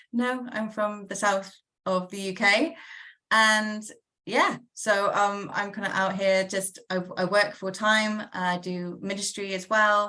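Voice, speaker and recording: A woman's very slow, bright, sharp voice at medium pitch, with fairly even intonation and a Bristol accent. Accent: Bristol accent, noticeable. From England, Bristol. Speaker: minister and guest. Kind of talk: interview.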